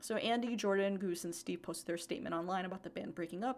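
Vocal fry runs through this woman's medium-pitched voice. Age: 20s. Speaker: podcast co-host. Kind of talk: casual chat.

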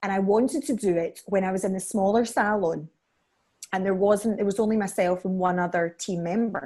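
Woman with a Scottish accent, medium pitch and a dark, mellow tone. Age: 30s. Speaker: beauty salon owner. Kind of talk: casual chat.

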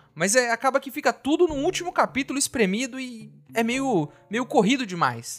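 A man's extremely high voice with lively intonation and big swings in loudness. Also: moderate pace, dry, close sound with no echo. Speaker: podcast host. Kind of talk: casual solo commentary.

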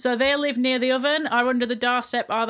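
A Yorkshire accent at a fairly quick pace, bright, sharp tone, and a very clean recording with a silent background. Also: woman. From northern England, Barnsley (Yorkshire). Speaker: podcast host. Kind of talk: casual chat.

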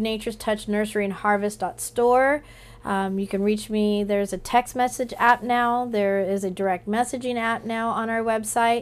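This woman has an unremarkable speaking voice with an American accent and a fairly high pitch. She talks at a moderate pace with fairly even intonation and hardly any pauses. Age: 40s. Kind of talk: casual chat.

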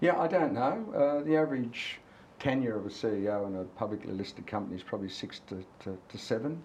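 A man with an Australian accent talks at a fairly quick pace with lively intonation, a medium pitch, and big swings in loudness. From Australia, Cessnock NSW. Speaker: company CEO. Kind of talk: casual interview. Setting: outdoors by a harbour.

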